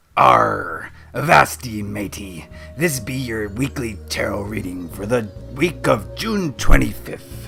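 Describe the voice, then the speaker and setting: A man puts on a character voice, raspy and fairly low in pitch. He speaks at a fairly slow pace over clear music in the background. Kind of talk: mock-nautical. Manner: exaggerated, playful.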